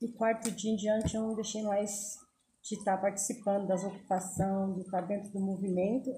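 A woman's somewhat breathy voice at medium pitch and moderate pace, with monotone, flat intonation. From São Paulo, Brazil. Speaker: community leader. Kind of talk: interview.

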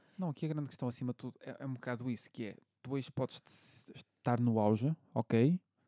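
Speaking in a European Portuguese accent, a man uses a dark, mellow tone with ordinary pitch variation and big swings in loudness at a fairly quick pace, in a dry, close sound with no echo. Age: 30s. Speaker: podcast host, bartender. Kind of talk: casual chat.

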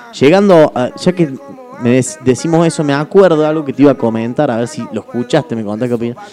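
Noticeable background noise is present throughout. The speaker talks very fast, with ordinary pitch variation. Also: man, fairly high pitch for a man. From Argentina. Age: 20s. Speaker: radio host. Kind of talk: casual chat. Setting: radio studio.

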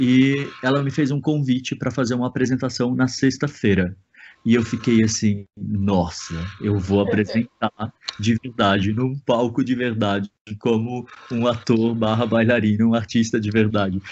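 Someone male talks in a normal speaking voice at a medium pitch. His pace is moderate and his intonation fairly even. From southern Brazil, Santa Catarina (Brusque). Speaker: photographer and actor. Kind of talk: casual interview. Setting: remote web radio call.

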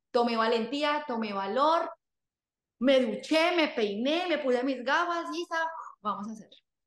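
With lively intonation and a high voice, a woman speaks at a fairly slow pace amid audible room echo. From Colombia, various cities. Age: 30s. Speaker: fitness coach. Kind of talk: podcast interview.

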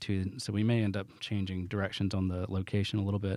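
In a Southern US accent, a dark, mellow voice rushes along at a very fast pace with monotone, flat intonation, recorded very cleanly with a silent background. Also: man. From US South. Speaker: business owner. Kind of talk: casual interview.

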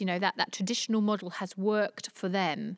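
A woman with a London accent, very fast, with fairly even intonation, in a dry, close recording with no echo that is very clean with a silent background. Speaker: diversity network founder. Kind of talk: interview. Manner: halting, many repetitions.

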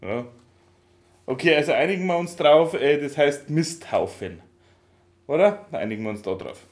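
A man talks at a moderate pace with long, frequent pauses. His fairly high voice has lively intonation and big swings in loudness. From Upper Bavaria, near Swabian border. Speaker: podcast co-host. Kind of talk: casual chat. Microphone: laptop recording, levels too quiet.

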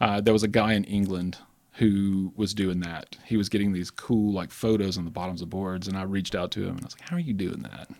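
Talking at a fairly quick pace with a Southern US accent, a man in a fairly low pitch keeps a fairly even intonation while his loudness swings widely. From Alabama. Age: 40s. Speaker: skateboard maker. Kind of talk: casual chat.

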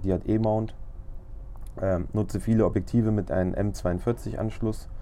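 The intonation stays fairly even throughout. A man speaks with a fairly low pitch. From Lower Saxony, Germany (Braunschweig). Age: 30s. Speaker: photographer podcaster. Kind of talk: casual monologue.

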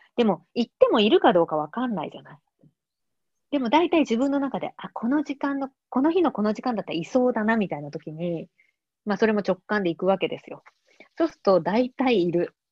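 Her fairly high voice moves in very wide pitch swings and big swings in loudness. The woman speaks at a fairly quick pace. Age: 40s. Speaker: artist. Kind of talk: casual interview conversation.

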